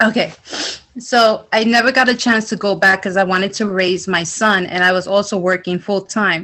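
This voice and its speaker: A woman with a New York accent speaks with fairly even intonation. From New York, the Bronx. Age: 40s. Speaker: culinary student. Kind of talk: emotional testimony.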